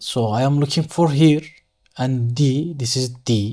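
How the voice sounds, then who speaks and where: A man talks at a very slow pace in a Turkish accent. His pitch varies in an ordinary way. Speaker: structural engineer. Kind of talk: tutorial. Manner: halting.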